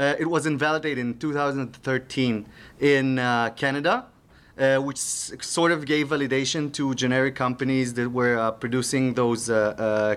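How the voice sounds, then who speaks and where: A man of medium pitch speaks with an Israeli accent. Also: fairly even intonation, moderate pace, very clean recording, silent background. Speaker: security researcher. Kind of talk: conference talk. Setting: stage with audience. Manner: halting, many fillers.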